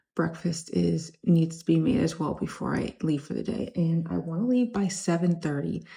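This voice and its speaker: A woman speaks at a fairly slow pace in a fairly low pitch, her somewhat breathy voice carrying a dark, mellow tone. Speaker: reseller vlogger. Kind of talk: casual vlog. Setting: home kitchen.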